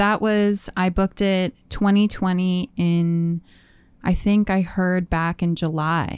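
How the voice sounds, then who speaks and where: In a Manitoban accent, a woman speaks very slowly at a mid-range pitch, with fairly even intonation and very even loudness. The recording is very clean, with a silent background and a dry, close sound with no echo. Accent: Canadian (Manitoba). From Winnipeg, Canada. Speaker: actor. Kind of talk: casual interview.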